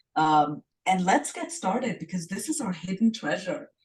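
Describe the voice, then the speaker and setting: Somewhat breathy and fairly low-pitched, a woman talks with lively intonation in an Indian accent. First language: Hindi. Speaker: self-love coach, podcast co-host. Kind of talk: casual podcast discussion.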